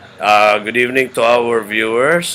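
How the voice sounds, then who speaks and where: Noticeable background noise sits behind a man's voice. His pitch is medium, with ordinary variation. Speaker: interviewer, foundation founder. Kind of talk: interview.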